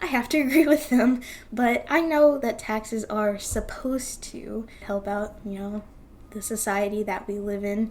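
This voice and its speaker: A woman's fairly high voice with an American accent, an ordinary speaking voice with ordinary pitch variation and big swings in loudness. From United States. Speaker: YouTuber, commentary channel host. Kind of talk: casual video commentary. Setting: home recording in front of a monitor. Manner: casual, with many fillers.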